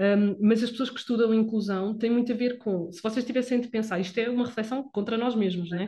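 Somewhat breathy and dark and mellow in tone, a woman speaks at a fairly high pitch and fairly quick pace with fairly even intonation and big swings in loudness. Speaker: physiotherapist podcast host. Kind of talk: casual chat.

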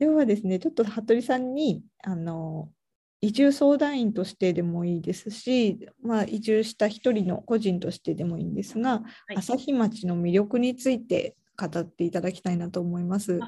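A woman speaks at a moderate pace with a medium pitch and a dark, mellow tone. Her voice is somewhat breathy, with lively intonation. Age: 30s. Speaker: podcast host, relocation coordinator. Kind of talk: casual interview.

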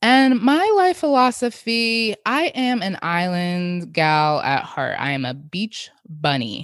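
A very slow pace with hardly any pauses and very wide pitch swings, on a very clean recording with a silent background. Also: woman, medium pitch for a woman. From Jamaica. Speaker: podcast host. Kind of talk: casual solo monologue.

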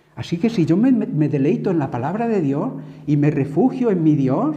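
A man talks at a fairly high pitch and a moderate pace, with lively intonation. Audible room echo surrounds his voice. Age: 60s. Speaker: preacher. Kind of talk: sermon.

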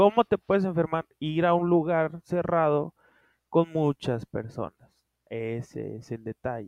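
With an ordinary speaking voice, a man talks at a fairly slow pace, fairly high in pitch and lively in intonation. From Culiacán, Sinaloa, Mexico. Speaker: podcast co-host, writer. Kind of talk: casual chat. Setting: remote recording.

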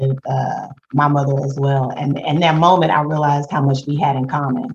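In an American accent, a woman speaks with a very deep, low pitch, somewhat breathy, with fairly even intonation at a moderate pace. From Houston, Texas. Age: 50s. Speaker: podcast co-host. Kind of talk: casual chat.

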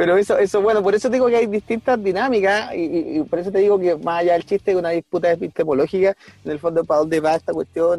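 At a very fast pace, a man with a Chilean accent speaks in a dark, mellow tone. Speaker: podcast co-host, teacher. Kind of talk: casual chat. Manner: animated.

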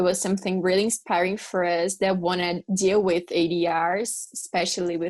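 This speaker has a Portuguese accent. The intonation is monotone and flat. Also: woman. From Brazil. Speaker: law student co-host. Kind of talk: interview.

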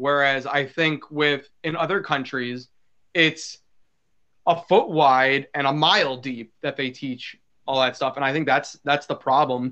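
A man with an American accent has a normal speaking voice at a fairly high pitch. He talks at a fairly slow pace with fairly even intonation. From New York. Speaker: podcast host. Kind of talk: casual chat.

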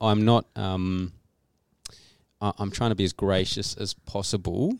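A fairly low-pitched man with an Australian accent at a fairly slow pace, dry and close with no echo, on a very clean recording with a silent background. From Australia, Canberra. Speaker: trainee church planter. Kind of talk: podcast interview. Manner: halting.

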